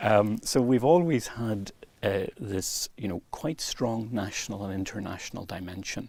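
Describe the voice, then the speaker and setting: A man with an Irish accent speaks at a fairly low pitch with ordinary pitch variation. The recording is very clean, with a silent background. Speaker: university vice-chancellor. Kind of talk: interview. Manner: fluent, measured.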